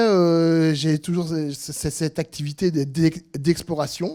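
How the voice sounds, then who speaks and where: A man talks with a high pitch. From southern France. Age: 60s. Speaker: freelance trainer and teacher. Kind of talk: informal presentation. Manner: halting, many hesitations and repetitions.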